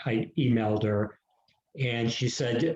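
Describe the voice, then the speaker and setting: A man's somewhat breathy voice, dark and mellow in tone, with fairly even intonation. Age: 60s. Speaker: author. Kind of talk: casual chat.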